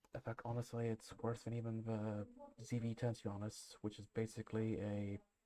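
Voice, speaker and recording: Soft-spoken and flat, a man with a dark, mellow tone talks at a fairly quick pace in a monotone. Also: medium pitch for a man. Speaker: photography livestreamer. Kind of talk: live stream commentary. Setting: live stream at sister's house. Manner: halting, many fillers.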